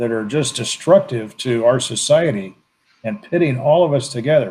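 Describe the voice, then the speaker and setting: Somewhat breathy, medium-pitched speech from a man, moderate in pace and lively in intonation. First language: Spanish. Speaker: political commentator. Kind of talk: casual chat.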